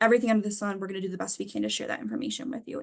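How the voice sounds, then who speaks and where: A woman speaks with ordinary pitch variation. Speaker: financial aid adviser. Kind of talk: webinar presentation. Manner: fast.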